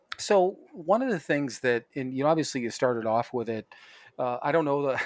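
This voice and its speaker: On a very clean recording with a silent background, a man speaks in a fairly high pitch with ordinary pitch variation. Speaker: podcast co-host in addiction recovery. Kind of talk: casual profane chat. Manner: laughs often, rambling.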